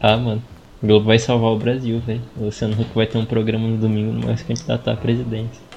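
A very fast, somewhat breathy male voice at medium pitch, with monotone, flat intonation. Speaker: podcast co-host. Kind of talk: casual chat.

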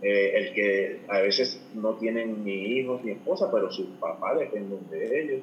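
Noticeable noise sits behind a man speaking at a fairly slow pace. He hardly pauses at all. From Puerto Rico. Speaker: financial advisor. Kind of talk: interview.

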